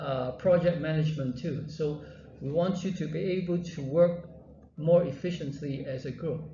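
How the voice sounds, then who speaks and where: Audible room echo hangs around speech delivered at a fairly slow pace. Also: man. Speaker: university lecturer. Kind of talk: lecture. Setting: classroom with students. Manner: halting.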